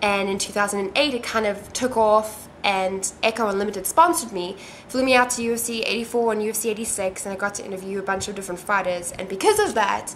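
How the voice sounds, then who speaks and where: Over noticeable background noise, a woman talks at a very fast pace with hardly any pauses and ordinary pitch variation. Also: medium pitch for a woman. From South Africa. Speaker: MMA interviewer and video blogger. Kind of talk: casual self-recorded video interview. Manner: casual, many fillers and restarts.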